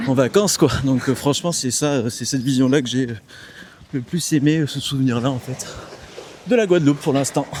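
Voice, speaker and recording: Fairly quick speech from a man at a fairly high pitch with ordinary pitch variation, long, frequent pauses and noticeable background noise. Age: 20s. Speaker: engineer. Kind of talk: casual chat. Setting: outdoors.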